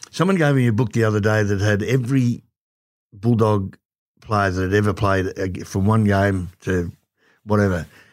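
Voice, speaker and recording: With an Australian accent, a man speaks at a fairly low pitch and a moderate pace. His pitch varies in an ordinary way, and the recording is very clean with a silent background. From Werribee, Victoria, Australia. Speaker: former footballer. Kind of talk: casual interview chat.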